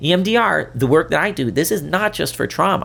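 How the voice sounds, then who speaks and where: This man talks at a fairly quick pace with an animated tone. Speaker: podcast host, therapist and leadership coach. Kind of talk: solo podcast talk. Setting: video podcast. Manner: fast.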